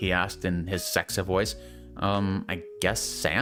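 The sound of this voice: The reading voice here sounds unforced.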